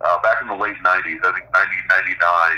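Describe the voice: Here a man speaks in a bright, sharp tone. His intonation stays fairly even.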